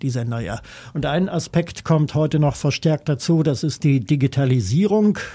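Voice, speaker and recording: This man's voice is somewhat breathy, with lively intonation and a moderate pace. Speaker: radio music journalist. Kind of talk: interview. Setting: studio.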